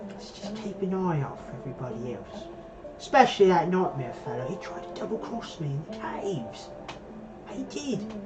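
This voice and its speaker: A put-on character voice, female-sounding, at middle pitch and moderate pace over loud background noise. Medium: actual play. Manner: oily, ingratiating.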